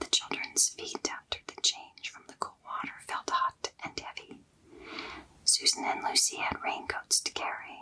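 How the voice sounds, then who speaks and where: Whispering at a fairly slow pace, a woman shows big swings in loudness over noticeable background noise. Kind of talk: bedtime story reading. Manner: whispered.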